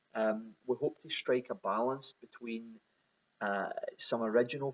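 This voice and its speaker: The speaker talks at a moderate pace in a Glaswegian accent. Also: man. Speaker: whisky bottler. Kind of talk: recorded video message. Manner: halting, many repetitions.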